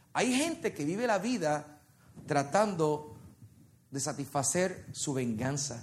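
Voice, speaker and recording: A man's fairly high, somewhat breathy voice with an animated tone and audible room echo. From Puerto Rico. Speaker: worship leader and preacher. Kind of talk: sermon. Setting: church with congregation.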